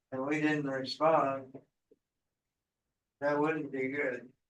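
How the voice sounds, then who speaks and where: A man speaks at a fairly slow pace in a fairly high, monotone voice with flat intonation, with audible room echo. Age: 70s. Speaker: amateur radio club member. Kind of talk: club meeting discussion.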